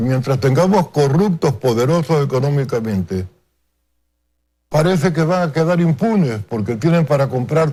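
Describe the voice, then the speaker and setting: Somewhat breathy, a man speaks with lively intonation on a very clean recording with a silent background. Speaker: political analyst. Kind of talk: TV news interview. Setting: TV studio.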